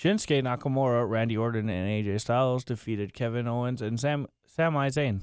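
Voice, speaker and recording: Delivered at a fairly quick pace with hardly any pauses, this is a plain, everyday voice with ordinary pitch variation. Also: man, medium pitch for a man. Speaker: friend sitting in, reads wrestling show recaps. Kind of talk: casual chat, reading recap notes.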